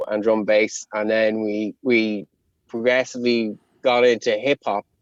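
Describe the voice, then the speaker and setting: The sound is dry and close with no echo as a man speaks with a Connemara accent. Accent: Connemara Irish. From Ireland, Connemara. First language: Irish. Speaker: rapper. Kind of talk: interview.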